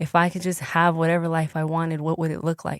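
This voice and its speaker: The recording is very clean with a silent background, and the sound is dry and close with no echo. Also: woman. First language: Spanish. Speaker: entertainer and engineer. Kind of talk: casual chat. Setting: podcast interview.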